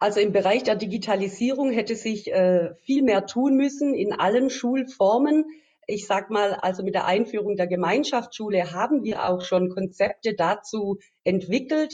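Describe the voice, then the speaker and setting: At a moderate pace, a woman speaks with a medium pitch, ordinary pitch variation and a dark, mellow tone. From Swabia, Baden-Württemberg (Metzingen). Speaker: politician, election candidate. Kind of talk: interview. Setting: video call. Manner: hesitant with many fillers.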